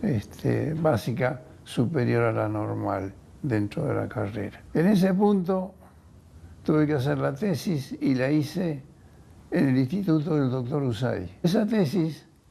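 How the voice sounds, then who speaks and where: Somewhat breathy and fairly high-pitched, this man talks at a fairly slow pace in a dark, mellow tone, his pitch swinging very widely. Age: 80s+. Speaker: biochemist. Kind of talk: testimony. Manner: halting.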